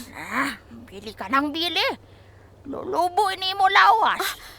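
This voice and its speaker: A woman puts on a character voice at an extremely high pitch. She speaks fairly slowly with lively intonation. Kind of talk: audio drama.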